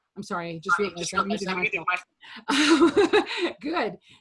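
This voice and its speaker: Loud and at a moderate pace, a woman speaks with very wide pitch swings. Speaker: clarinetist in a quartet. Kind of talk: casual video podcast discussion. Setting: video call.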